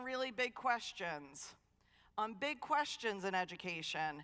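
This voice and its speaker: A woman speaks in a raised, projected voice with a bright, sharp, animated tone and very wide pitch swings. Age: 50s. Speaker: dean of students and keynote speaker. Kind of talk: keynote talk. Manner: fast.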